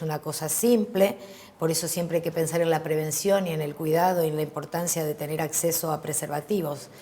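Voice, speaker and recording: A woman talking at a fairly quick pace, fairly low in pitch and fairly even in intonation, over noticeable background noise. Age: 50s. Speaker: HIV activist. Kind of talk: interview.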